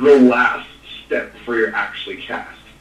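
A man with an American accent, medium pitch and fairly even intonation, amid noticeable background noise and audible room echo. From US West Coast, East Bay Area (Contra Costa County, California). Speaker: actor and stuntman. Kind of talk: casual interview. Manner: halting, many fillers and repetitions.

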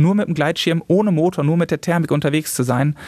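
The voice moves at a very fast pace with fairly even intonation. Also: man. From Germany, Westphalia (Salzkotten). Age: 30s. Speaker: paraglider pilot and YouTuber. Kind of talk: interview.

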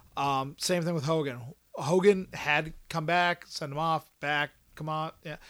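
Very clean recording, silent background. A man with an American accent speaks at a fairly slow pace with a fairly high pitch and fairly even intonation. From Pennsylvania. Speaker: guest co-host, wrestling fan. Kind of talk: casual chat.

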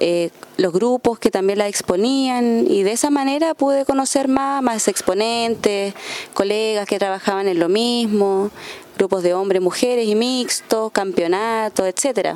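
Over noticeable background noise, a woman talks at a fairly slow pace with a fairly high pitch, ordinary pitch variation and very even loudness. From Coyhaique, southern Chile. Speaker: folk musician and music teacher. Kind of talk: radio interview.

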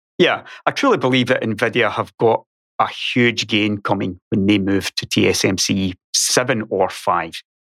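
In a Scottish accent, the speaker talks at a fairly slow pace with ordinary pitch variation, in a dry, close sound with no echo. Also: man, fairly low pitch for a man. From Scotland. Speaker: YouTuber and podcaster.

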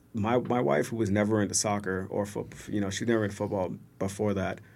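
Speaking at a fairly quick pace, a man has an unremarkable speaking voice, fairly low in pitch with fairly even intonation. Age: 30s. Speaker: soccer supporter group member. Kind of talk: casual chat.

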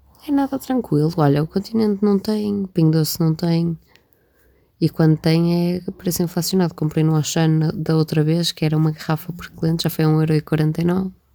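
A dark, mellow female voice, fairly low in pitch, with ordinary pitch variation at a moderate pace. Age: 20s. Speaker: podcast co-host. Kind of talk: casual chat. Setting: in bed at home.

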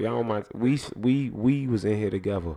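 This man speaks at a fairly low pitch with ordinary pitch variation and a dark, mellow tone. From Jamaica (Spanish Town). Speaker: podcast co-host. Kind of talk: casual chat. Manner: fast.

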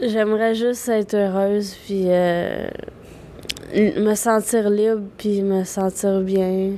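Over noticeable background noise, a woman speaks at a very slow pace in a monotone, flat intonation. Her pitch is medium and her loudness very even. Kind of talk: interview testimony.

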